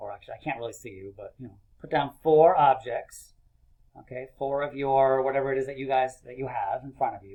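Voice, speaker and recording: Here a man speaks fairly quickly in a normal speaking voice at a medium pitch. His intonation is fairly even, but his loudness swings widely. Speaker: elementary school teacher. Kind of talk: video lesson for young children.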